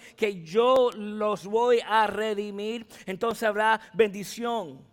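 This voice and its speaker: On a very clean recording with a silent background, a man speaks at a high pitch. His pace is very slow and his intonation fairly even. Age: 40s. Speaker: pastor. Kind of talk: sermon. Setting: church.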